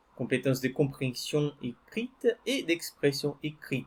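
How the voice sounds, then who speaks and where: This man's pitch is fairly high, and his intonation is lively. He speaks at a very slow pace. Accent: Brazilian. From Brazil. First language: Portuguese (speaking French). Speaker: French teacher. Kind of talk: personal story told to learners. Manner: hesitant, with repetitions.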